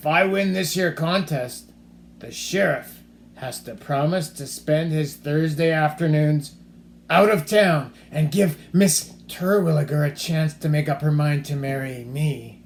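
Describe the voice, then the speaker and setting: Putting on a character voice, a man speaks at a fairly high pitch and fairly slow pace, with ordinary pitch variation and big swings in loudness. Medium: read story. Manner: gruff, stubborn.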